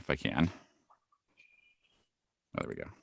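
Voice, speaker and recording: This man has an American accent. His voice shows vocal fry. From Central Iowa. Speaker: voice actor. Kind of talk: workshop presentation. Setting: video call. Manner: casual, friendly.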